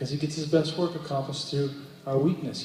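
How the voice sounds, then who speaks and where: Noticeable background noise and audible room echo fill the recording. A man talks with fairly even intonation. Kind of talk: stage talk between songs. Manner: halting.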